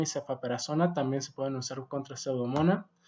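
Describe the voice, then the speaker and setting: This is a man's voice. It has a dark, mellow tone. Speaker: medical doctor and educator. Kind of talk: video lecture.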